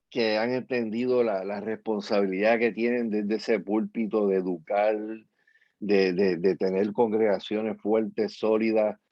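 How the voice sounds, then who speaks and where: A man talks with monotone, flat intonation at a fairly low pitch. The pace is fairly slow. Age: 60s. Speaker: pastor and activist. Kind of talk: interview.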